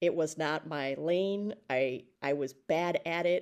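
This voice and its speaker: In an Upper Midwest accent, a woman talks at a fairly low pitch with fairly even intonation. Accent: Upper Midwest American. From rural Wisconsin (Alma Center). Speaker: education consultant, former teacher. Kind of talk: casual interview.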